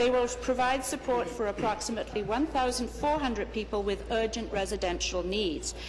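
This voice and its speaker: The speech moves at a fairly quick pace with hardly any pauses and very even loudness. Noticeable background noise runs under it. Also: woman. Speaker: government minister answering in legislature. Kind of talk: parliamentary answer to a question.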